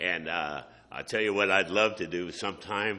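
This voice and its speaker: A man with an American accent has a fairly low pitch and a bright, sharp tone. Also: quiet background. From Southern California. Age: 70s. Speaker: charity director. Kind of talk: community presentation. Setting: meeting hall at a podium. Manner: halting with fillers.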